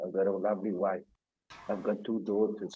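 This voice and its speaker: Fairly low male speech at a moderate pace with music in the background. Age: 60s. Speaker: cancer patient. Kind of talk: testimony.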